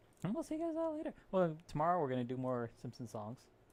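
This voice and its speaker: A soft-spoken man, relaxed in tone, at a fairly quick pace. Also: big swings in loudness. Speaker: live streamer. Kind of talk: casual stream sign-off.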